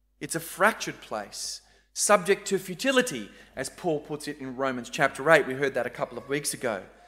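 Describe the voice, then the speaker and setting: Someone speaks at a fairly quick pace with an Australian accent. The recording is very clean, with a silent background. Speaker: preacher. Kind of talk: sermon. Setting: church.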